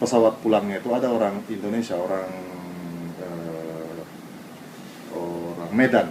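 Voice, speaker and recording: A man with a Japanese accent speaks in a very deep, low voice at a fairly slow pace, with long, frequent pauses and ordinary pitch variation. Noticeable background noise and audible room echo fill the recording. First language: Japanese (speaking Indonesian). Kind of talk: interview testimony.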